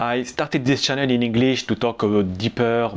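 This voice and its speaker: A man speaks with a French accent. His intonation is fairly even. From Lebanon. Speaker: business YouTuber. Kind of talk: channel announcement. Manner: hesitant, with fillers.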